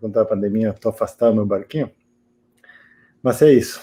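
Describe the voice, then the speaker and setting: This man has an Argentine accent and a medium-pitched voice with a dark, mellow tone. His pitch varies in an ordinary way. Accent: Argentine accent in Portuguese, noticeable. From Argentina. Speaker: interviewee on a panel. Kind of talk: interview. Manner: halting, with many fillers and repetitions.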